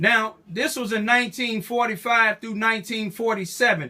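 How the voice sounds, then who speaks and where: A man with an American accent uses a raised, projected voice with a bright, sharp tone. His pitch is high and his pace fairly slow. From Southeast Missouri. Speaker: activist. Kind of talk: interview questions.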